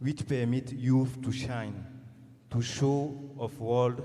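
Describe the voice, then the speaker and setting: Medium-pitched male voice, monotone and flat in intonation, with audible room echo. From Burkina Faso. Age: young. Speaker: startup founder, audience member. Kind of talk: audience question at forum. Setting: conference hall with audience. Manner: halting.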